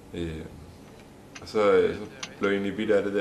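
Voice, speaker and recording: A man with a fairly low pitch speaks in a space with audible room echo. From Denmark, Allerød, Zealand. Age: 20s. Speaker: folk high school sailing student. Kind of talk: interview. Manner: halting, many fillers.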